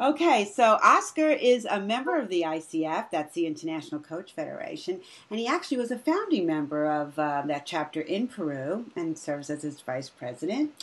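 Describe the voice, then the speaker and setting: In an American accent, a woman speaks at a fairly quick pace with hardly any pauses. Her fairly low pitch swings very widely. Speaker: training director at a coaching school. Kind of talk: interview. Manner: animated.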